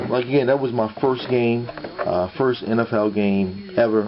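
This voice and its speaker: A man's fairly even-toned voice over noticeable background noise. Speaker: sports memorabilia collector, YouTuber. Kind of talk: casual vlog. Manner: halting, many fillers.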